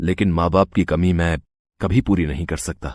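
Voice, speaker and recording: Putting on a growling character voice, a man speaks at a moderate pace in a very deep, low pitch. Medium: cartoon. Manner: respectful, heartfelt.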